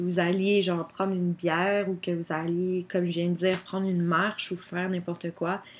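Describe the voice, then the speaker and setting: A woman in a Quebec accent, fairly low-pitched and monotone with flat intonation, at a fairly quick pace. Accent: Québécois French. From Quebec, Drummondville. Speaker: YouTuber. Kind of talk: casual chat. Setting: home webcam recording. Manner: casual, filler-heavy (genre, comme).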